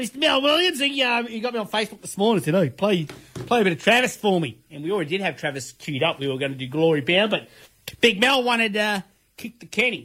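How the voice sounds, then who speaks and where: A man speaks in a raised, projected voice at a very fast pace, his pitch high and swinging very widely. His tone is bright and sharp. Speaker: community radio host. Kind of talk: laid-back radio DJ patter with song dedications and sponsor reads. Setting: radio studio. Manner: jokey, self-mocking banter with frequent laughs; rambling, halting with many fillers and restarts.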